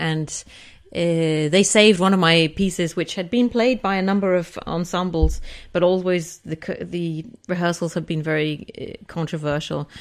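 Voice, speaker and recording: A woman with an English accent speaks with fairly even intonation against a quiet background. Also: fairly low pitch for a woman, moderate pace. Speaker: composer. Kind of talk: interview. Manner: hesitant, many fillers.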